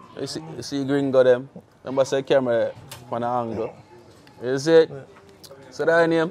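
Noticeable background noise sits behind a man speaking at a moderate pace and medium pitch, with ordinary pitch variation. He leaves long, frequent pauses. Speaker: music interviewer / show host. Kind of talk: casual interview.

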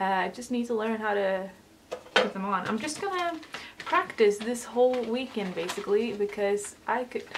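A woman speaks at a moderate pace with a fairly high pitch and lively intonation over noticeable background noise. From Sweden. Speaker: beauty vlogger. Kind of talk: casual chat. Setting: at home. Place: home room.

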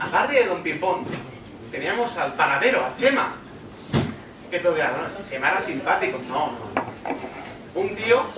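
Noticeable background noise and audible room echo accompany a man speaking at a fairly slow pace. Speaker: stand-up comedian. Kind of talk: stand-up comedy monologue.

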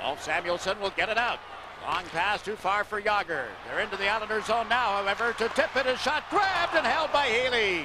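A man speaks in a raised, projected voice at a high pitch, sounding excited, with lively intonation and a dry, echo-free sound over loud background noise. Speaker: play-by-play hockey commentator. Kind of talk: live hockey play-by-play commentary. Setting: broadcast booth at the arena during a live TV game. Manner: fast, rapid-fire play-by-play that builds to a loud, excited call on goals; fluent, measured broadcaster delivery with sponsor reads and game updates. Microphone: headset.

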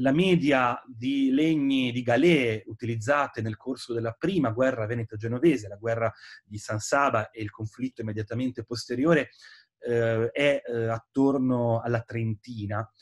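A man at a moderate pace, with ordinary pitch variation, over a quiet background. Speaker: historian and author. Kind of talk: book presentation interview. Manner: hesitant, many filler sounds. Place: home room. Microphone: webcam.

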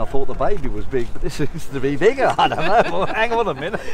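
A very fast-talking man with very wide pitch swings, dry with no echo, amid noticeable background noise. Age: 80s+. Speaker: town crier; war veteran. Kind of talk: street interview answer. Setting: outdoors. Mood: cheerful, excited. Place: open country.

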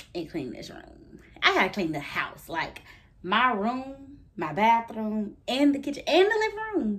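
The pace is fairly slow as the woman talks. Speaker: vlogger. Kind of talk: casual vlog chat.

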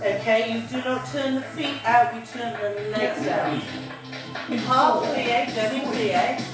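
A woman speaks at a very slow pace. Clear music plays in the background, and the room echo is audible. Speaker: fitness instructor. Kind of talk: exercise class instruction. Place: gym. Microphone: camera far.

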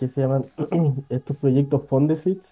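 Faint music sits in the background as a man speaks at a fairly quick pace with fairly even intonation. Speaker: remote interview guest, professor. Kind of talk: interview answer. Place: office. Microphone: earbuds.

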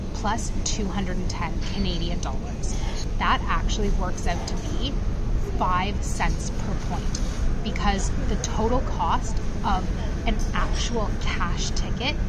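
A woman talks at a very slow pace. Loud noise fills the background. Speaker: travel vlogger. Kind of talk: casual vlog chat. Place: station. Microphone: phone near.

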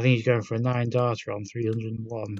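A man talks at a fairly quick pace. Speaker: retro gaming video host. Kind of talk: casual gameplay commentary.

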